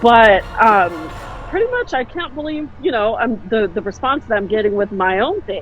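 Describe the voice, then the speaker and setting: The speech moves at a fairly quick pace, animated in tone with lively intonation, over noticeable background noise. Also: woman. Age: 40s. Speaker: podcast host. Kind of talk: casual interview.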